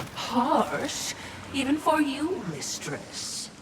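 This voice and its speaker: A cartoonish character voice speaks at a high pitch. Clear background noise runs underneath. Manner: polite, dry.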